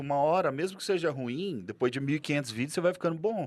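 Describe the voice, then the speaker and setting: In a very clean recording with a silent background, a man with a strong Goiás accent talks at a very fast pace, his pitch swinging very widely. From Goiás, central Brazil. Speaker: real estate broker and content creator. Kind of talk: podcast interview. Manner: animated, casual.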